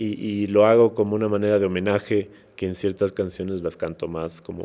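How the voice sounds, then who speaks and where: A man's fairly low voice carries a dark, mellow tone in a very clean recording with a silent background. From Ecuador, Quito (highlands). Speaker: musician and actor. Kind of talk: interview conversation. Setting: podcast recording. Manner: hesitant, many repeated words and fillers.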